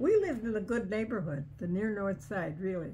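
A woman with a Chicago accent speaks in a dark, mellow tone with vocal fry. Her pitch varies in an ordinary way, with light background noise. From Chicago, US Midwest. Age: 80s+. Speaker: elderly relative telling memories. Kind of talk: casual chat. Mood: reminiscing, relaxed. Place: home room. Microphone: camera far.

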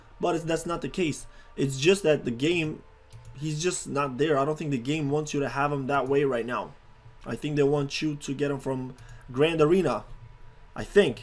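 Over faint background music, a man with a fairly high voice speaks at a moderate pace, his intonation fairly even and broken by long, frequent pauses. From abroad, a developing country. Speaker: gaming YouTuber. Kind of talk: gameplay commentary. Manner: casual, rambling.

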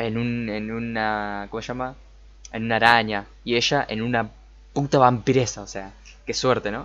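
Monotone, flat intonation at a moderate pace. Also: man. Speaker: anime reactor. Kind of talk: casual reaction commentary. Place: home room.

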